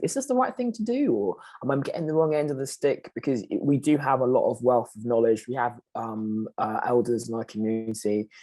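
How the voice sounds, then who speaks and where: A man speaks at a fairly quick pace with a British accent. His tone is dark and mellow. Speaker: panelist. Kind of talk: panel discussion.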